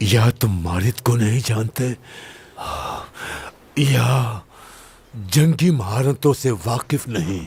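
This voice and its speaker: A man's put-on character voice at medium pitch, with lively intonation, a very slow pace and long, frequent pauses. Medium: fan dub. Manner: sneering, drawn-out grunting hesitations.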